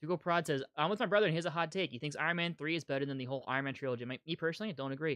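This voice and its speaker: With hardly any pauses, a man talks at a very fast pace in a fairly high voice. The sound is dry and close with no echo, and his pitch variation is ordinary. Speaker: YouTube comics channel host. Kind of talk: live stream commentary and chat reading. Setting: live stream.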